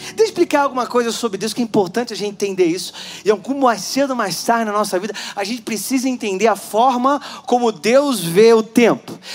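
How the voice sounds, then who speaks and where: A man with a high pitch and ordinary pitch variation talks fairly quickly, with noticeable background noise behind him. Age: 40s. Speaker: pastor. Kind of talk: sermon.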